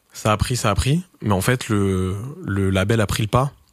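This is a man with a fairly low pitch and ordinary pitch variation. The recording is very clean, with a silent background. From France, Touraine. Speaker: record label founder and DJ. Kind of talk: casual interview.

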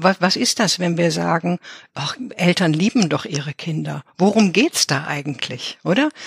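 A woman with a fairly low pitch and vocal fry speaks very slowly but with lively intonation, the sound dry and close with no echo. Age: 70s. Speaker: psychotherapist and author. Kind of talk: interview.

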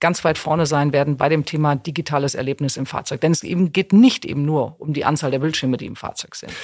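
Energetic in tone, a woman with a very deep, low voice speaks at a moderate pace with ordinary pitch variation on a very clean recording with a silent background. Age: 50s. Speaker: corporate HR executive. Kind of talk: interview.

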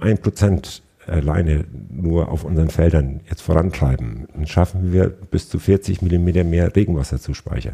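Very deep, low male speech with ordinary pitch variation, delivered at a moderate pace. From northern Germany, Schleswig-Holstein. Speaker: agricultural business manager. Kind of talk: interview. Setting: in person, on location.

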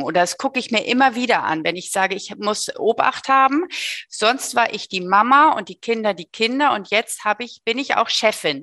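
Over a quiet background, a woman speaks with a bright, sharp tone. Her pitch is fairly high, and the sound is dry and close with no echo. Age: 50s. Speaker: business owner. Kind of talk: interview. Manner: hesitant with filler sounds.

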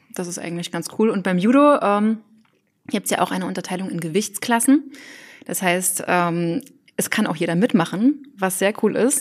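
Spoken at a moderate pace with lively intonation. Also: woman, medium pitch for a woman. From Thuringia, Germany. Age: 20s. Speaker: trainee teacher and novelist. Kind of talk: casual chat.

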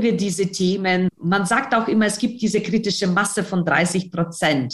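A woman talks fairly slowly at a medium pitch, her voice somewhat breathy and her pitch varying in an ordinary way. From Ukraine. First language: Ukrainian or Russian (speaking German). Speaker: newspaper editor. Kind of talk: interview.

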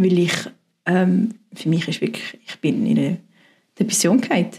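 A woman talks fairly quickly at a medium pitch, somewhat breathy, with ordinary pitch variation. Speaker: pastor. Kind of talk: interview testimony.

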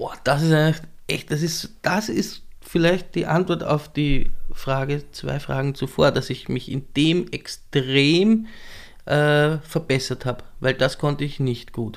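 Here a man speaks at a very slow pace with a fairly high pitch and ordinary pitch variation. The recording is very clean, with a silent background. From Lower Austria, southern Weinviertel. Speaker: cabaret performer and DJ. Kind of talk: casual interview chat.

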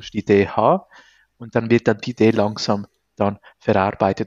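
Speaking with fairly even intonation, the man holds a medium pitch. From Venezuela. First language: Spanish (speaking German). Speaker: entrepreneur, recruiter. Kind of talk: interview. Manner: halting, many fillers.

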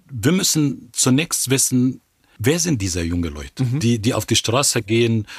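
On a very clean recording with a silent background, a man with an Arabic accent sounds somewhat breathy and keeps a moderate pace. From Egypt, Cairo. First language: Arabic (speaking German). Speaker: historian and political scientist, professor. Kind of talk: interview conversation. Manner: halting, frequent hesitations.

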